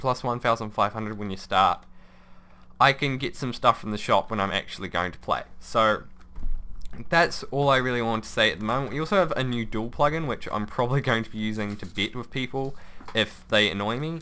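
Here a man talks at a fairly quick pace. His tone is bright and sharp. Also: medium pitch for a man, ordinary pitch variation.

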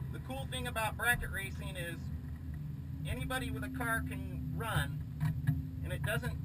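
Loud background noise surrounds the speaker. He is a man talking at a moderate pace. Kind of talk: explanatory commentary. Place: car. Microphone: camera far.

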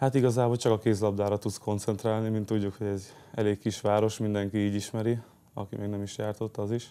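A man speaks very fast at a fairly low pitch in a dark, mellow tone. His intonation is monotone and flat. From Hungary. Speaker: handball player; guest. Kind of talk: interview. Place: studio. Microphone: lapel.

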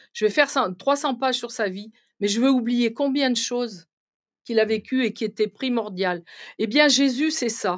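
Against a quiet background, a woman with a high pitch speaks at a moderate pace, leaving long, frequent pauses. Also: ordinary pitch variation. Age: 60s. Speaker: medium; guest. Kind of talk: interview. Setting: live stream studio. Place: studio. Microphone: studio mic.

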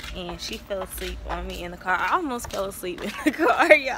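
Background noise is noticeable as a woman talks with lively intonation at a moderate pace. The sound is dry, with no echo. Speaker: vlogger. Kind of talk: casual vlog chat. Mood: cheerful, excited. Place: street. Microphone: phone near.

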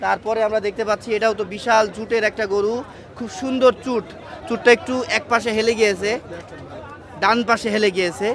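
Crowd noise fills the background as a man talks in a high pitch. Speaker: livestock market vlogger. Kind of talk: live walk-around vlog with interviews. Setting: outdoors at cattle market. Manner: animated.

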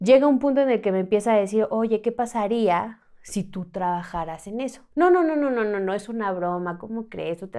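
A woman talks at a moderate pace with hardly any pauses, her dark, mellow voice fairly high in pitch. Her intonation is lively, and the background is quiet. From Mexico City. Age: 30s. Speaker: trafficking survivor; podcast guest. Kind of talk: testimony. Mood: serious personal storytelling. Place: studio. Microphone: studio mic.

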